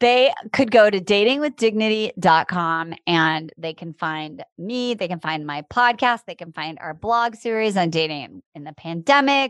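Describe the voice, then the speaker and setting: A woman with an ordinary speaking voice talks at a fairly slow pace and medium pitch, her intonation lively and her loudness swinging widely, in a dry, close recording with no echo and a quiet background. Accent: American. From US Midwest, Iowa. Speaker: dating coach. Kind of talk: interview.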